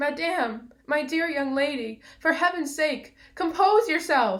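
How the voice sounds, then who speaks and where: A woman's put-on character voice, shouting, shaky and high-pitched at a fairly slow pace. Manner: trembling scream.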